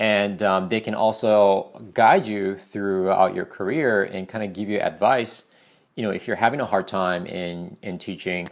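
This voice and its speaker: A man talks at a moderate pace in a fairly low pitch. His intonation is fairly even, and the recording is very clean with a silent background. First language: not English. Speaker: ESL teacher. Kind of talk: casual vlog advice talk. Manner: conversational, many fillers.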